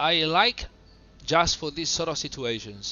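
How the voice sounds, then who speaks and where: There is noticeable background noise behind this man, whose voice sits high in pitch. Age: 30s. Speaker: flight simulator streamer. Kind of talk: live gameplay commentary. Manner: relaxed, casual; halting, hesitant.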